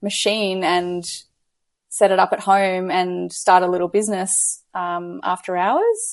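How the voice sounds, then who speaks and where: A woman with an Australian accent, medium-pitched, monotone and flat, at a moderate pace. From Australia, Gold Coast. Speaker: business coach. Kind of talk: casual interview chat.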